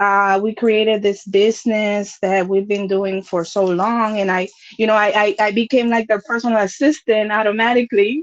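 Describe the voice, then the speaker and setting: A woman speaks at a moderate pace with a fairly high pitch, fairly even intonation, very even loudness and hardly any pauses. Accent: slight Dominican. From Dominican Republic. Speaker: content creator. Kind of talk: casual chat.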